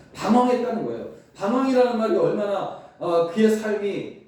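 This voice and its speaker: A man speaks with ordinary pitch variation, and the recording has audible room echo and noticeable background noise. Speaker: pastor. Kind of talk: sermon.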